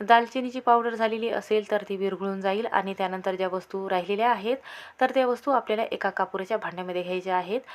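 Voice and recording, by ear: A woman at a medium pitch, fast pace, few pauses and ordinary pitch variation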